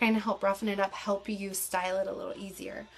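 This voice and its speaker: Fairly quick speech from a woman. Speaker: beauty vlogger. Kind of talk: tutorial. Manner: fast; casual.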